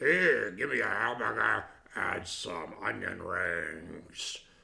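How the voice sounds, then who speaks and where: A put-on character voice, raspy and gruff, drags along at a very slow pace with audible echo. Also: man, very deep, low pitch for a man. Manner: pretending, disguised.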